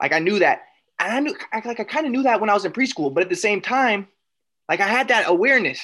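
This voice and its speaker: A man's raised, projected, high voice, very fast and with lively intonation, against a quiet background. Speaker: podcast host. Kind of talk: casual chat. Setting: video call.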